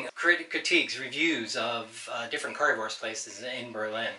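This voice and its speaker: A man at a moderate pace with ordinary pitch variation, audible room echo and light background noise. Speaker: home cook host. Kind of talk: casual cooking tutorial. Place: kitchen. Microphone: camera far.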